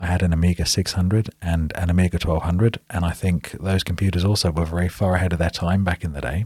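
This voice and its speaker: On a very clean recording with a silent background, a man with a British accent talks at a very fast pace, his very deep, low pitch paired with a dark, mellow, somewhat breathy tone. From England. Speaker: software developer.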